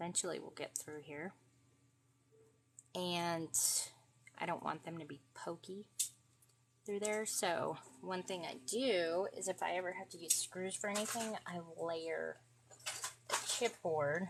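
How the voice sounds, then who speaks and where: The speaker has a New England accent and talks at a fairly slow pace with long, frequent pauses and ordinary pitch variation. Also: woman, fairly low pitch for a woman. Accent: some Yankee in her speech. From Florida. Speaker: craft livestreamer. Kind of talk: craft tutorial livestream. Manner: over-enunciates; casual, hesitant with fillers.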